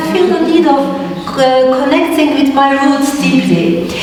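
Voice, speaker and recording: A woman's high voice with lively intonation at a moderate pace, over noticeable background noise. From Turkey. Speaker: dance educator. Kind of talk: lecture presentation. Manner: hesitant, many fillers.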